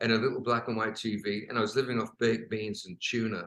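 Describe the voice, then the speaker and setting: A man with an English accent, medium pitch, fairly even intonation and a bright, sharp tone. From England. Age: 70s. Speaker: rock singer and songwriter. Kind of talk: interview answer.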